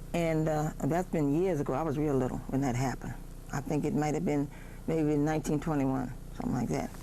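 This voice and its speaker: A woman talks at a very fast pace with a very deep, low pitch, ordinary pitch variation and very even loudness. Audible room echo surrounds her voice. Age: 70s. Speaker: oral history interviewee. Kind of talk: oral history interview.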